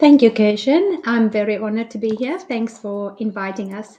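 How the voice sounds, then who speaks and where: With a South African accent, a woman talks at a moderate pace in a fairly high pitch, her tone dark and mellow and her pitch variation ordinary. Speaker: entrepreneur, gold investor. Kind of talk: online interview.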